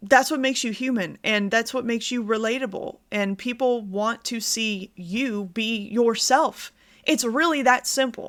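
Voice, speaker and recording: A woman's plain, everyday voice, fairly high in pitch with ordinary pitch variation and hardly any pauses, on a very clean recording with a silent background. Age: 30s. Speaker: planner and art YouTuber. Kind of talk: casual vlog talk to camera. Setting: home recording on lunch break. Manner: casual, conversational with fillers.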